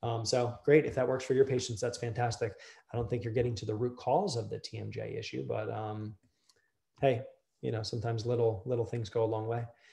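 A man's dark, mellow voice with vocal fry, fairly even intonation and a fairly quick pace, over a quiet background. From Delaware. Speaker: dentist; presenter. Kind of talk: lecture. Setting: video call. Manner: casual with many fillers. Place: office. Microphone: webcam.

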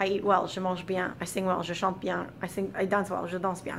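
Over light background noise, a woman speaks at a fairly quick pace. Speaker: French teacher. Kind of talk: tutorial. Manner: casual, with many fillers. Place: classroom. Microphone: camera far.

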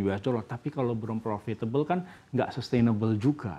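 Lively intonation marks this man's dark, mellow tone as he talks at a moderate pace. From Indonesia. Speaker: venture capital executive. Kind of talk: news interview. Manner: halting. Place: studio. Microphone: lapel.

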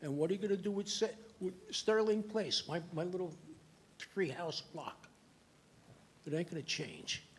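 Moderate-paced speech in a New York accent, with ordinary pitch variation and long, frequent pauses. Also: man, high pitch for a man. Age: 80s+. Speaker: resident speaking at public hearing. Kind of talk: public comment at planning board meeting. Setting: town planning board meeting.

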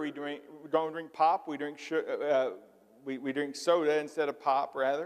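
The speaker has a slight Southern US accent and talks at a fairly slow pace with fairly even intonation over a quiet background. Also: man. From US South, Missouri Boot Heel / western Kentucky area; US South. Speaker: pastor. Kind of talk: sermon. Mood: humorous, anecdotal. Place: church. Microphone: lapel.

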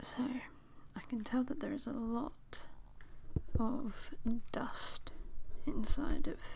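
Noticeable background noise surrounds a man speaking in an extremely high pitch with ordinary pitch variation. He talks at a very slow pace, with long, frequent pauses. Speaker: ASMR creator. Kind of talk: ASMR roleplay, whispered close-mic talk. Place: home room. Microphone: studio mic.

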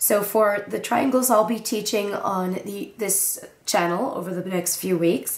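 A woman speaks at a fairly slow pace with a medium pitch and ordinary pitch variation. Noticeable background noise sits behind her. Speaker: origami tutorial creator. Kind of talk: tutorial. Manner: casual with filler words.

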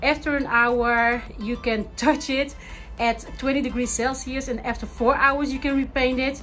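Faint music plays in the background as a woman with a high pitch speaks at a fairly slow pace in a monotone, flat intonation. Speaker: home organizing vlogger. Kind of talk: casual vlog chat. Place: garage. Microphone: phone near.

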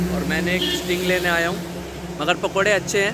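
A man talks at a fairly slow pace, the sound dry with no echo, while loud background noise carries on. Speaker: travel vlogger. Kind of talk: casual vlog chat. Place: street. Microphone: phone near.

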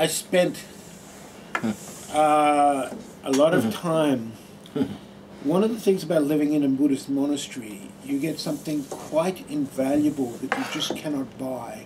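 Against noticeable background noise, a man with a fairly high pitch and an Australian accent speaks at a fairly slow pace with long, frequent pauses. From Adelaide, Australia. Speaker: former Buddhist monk. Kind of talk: talk to an audience. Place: meeting room.

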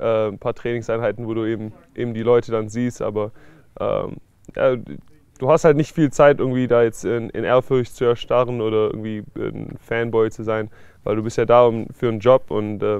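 A man's monotone, flat delivery with a dry, echo-free sound against a quiet background. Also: moderate pace. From Stuttgart, Germany. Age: 20s. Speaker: American football player. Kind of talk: interview answer. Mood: calm, thoughtful. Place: garden.

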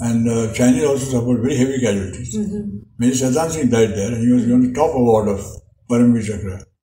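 A man with a dark, mellow, somewhat breathy voice talks at a very fast pace with ordinary pitch variation. Light background noise and audible room echo are present. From India. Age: 80s+. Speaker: war veteran. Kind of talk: interview answer. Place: home room. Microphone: camera far.

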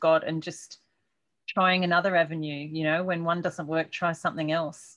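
A woman speaks with an Australian accent. The background is quiet. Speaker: podcast host. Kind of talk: interview. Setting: video call. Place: home room. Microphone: webcam.

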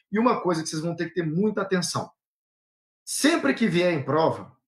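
The background stays quiet. A man's pitch shows ordinary variation. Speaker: law exam-prep teacher. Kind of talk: live online lecture. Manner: fast. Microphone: video call.

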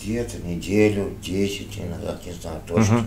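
Speaking at a fairly slow pace with ordinary pitch variation, a man is heard with audible room echo and light background noise. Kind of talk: interview answer. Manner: weak, tired voice of beaten patient.

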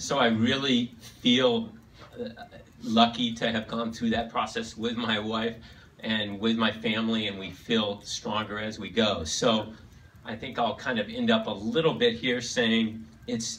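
A man's voice, fairly slow, with fairly even intonation. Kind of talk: speech. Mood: sentimental, heartfelt. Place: hall. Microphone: pa.

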